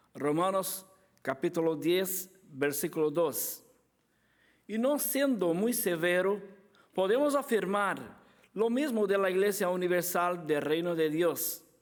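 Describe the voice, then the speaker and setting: Speaking very slowly, a man with a high pitch and lively intonation keeps his loudness very even while room echo is audible. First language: Portuguese (speaking Spanish). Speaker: apologetics speaker. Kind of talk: conference lecture. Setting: conference with audience. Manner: halting.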